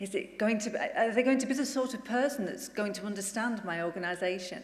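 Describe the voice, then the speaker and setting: With lively intonation, a woman with a fairly high pitch speaks amid audible room echo. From northern England, Bolton. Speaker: incoming charity chief executive. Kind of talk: conference speech.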